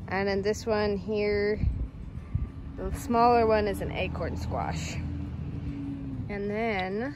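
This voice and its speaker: A woman over noticeable background noise, her sound dry with no echo. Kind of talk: casual vlog chat. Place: garden. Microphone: phone near.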